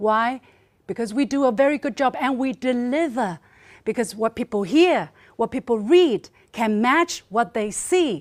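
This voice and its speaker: A woman's high, animated voice with a Chinese accent, lively intonation and a fairly slow pace, in a very clean recording with a silent background, dry and close with no echo. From China. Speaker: state media journalist. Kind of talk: panel debate speech. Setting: forum panel with audience.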